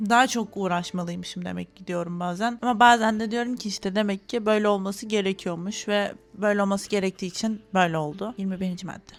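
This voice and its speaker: At a fairly quick pace and with hardly any pauses, a woman with an ordinary speaking voice talks at a medium pitch with fairly even intonation and big swings in loudness. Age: 20s. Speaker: YouTuber, master's student. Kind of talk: vlog monologue to camera. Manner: casual, chatty.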